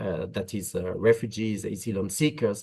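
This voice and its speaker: Over a quiet background, a man speaks with a French accent. His pitch variation is ordinary. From France. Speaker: migration policy expert. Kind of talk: webinar panel talk. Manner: hesitant, many filler uhs.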